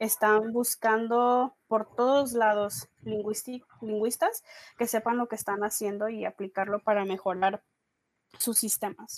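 A woman talks at a fairly slow pace with a fairly high pitch. It is a plain, everyday voice with a dry, close sound and no echo. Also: fairly even intonation. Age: 20s. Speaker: linguistics student. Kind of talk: casual interview. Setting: after work.

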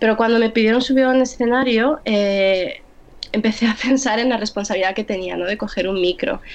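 A woman with a fairly high pitch amid noticeable background noise. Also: ordinary pitch variation, fairly quick pace. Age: 20s. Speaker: poet. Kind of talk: interview.

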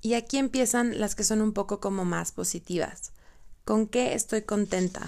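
At a moderate pace, a woman with a normal speaking voice and fairly high pitch talks with fairly even intonation and very even loudness. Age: 30s. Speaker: podcast host. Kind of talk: personal monologue, partly reading her own blog essay.

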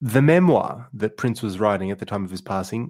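On a very clean recording with a silent background, a man talks in an Australian accent. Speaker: podcast host. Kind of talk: casual chat; storytelling. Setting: virtual round table.

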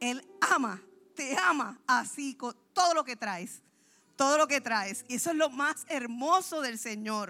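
The voice is raised and projected, bright and sharp, with an animated tone and lively intonation at a fairly slow pace. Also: woman, high pitch for a woman. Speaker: pastor. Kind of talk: sermon.

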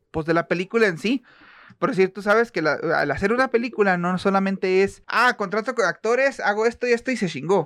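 With a Mexican accent, a man speaks in an animated tone at a fairly quick pace and a high pitch against a quiet background. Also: ordinary pitch variation, dry, close sound with no echo. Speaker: podcast co-host. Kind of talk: casual chat.

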